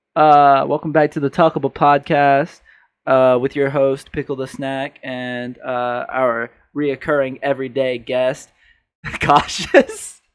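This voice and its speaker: The speech moves at a very slow pace in a flat monotone, with a dry, close sound, no echo and a quiet background. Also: man, fairly high pitch for a man. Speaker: podcast host. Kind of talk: casual chat. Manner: put-on podcast voice.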